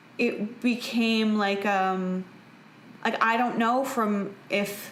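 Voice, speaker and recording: Noticeable background noise sits behind a woman with a Canadian accent who talks at a very slow pace with ordinary pitch variation. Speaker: actress, podcast host. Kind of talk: casual podcast conversation.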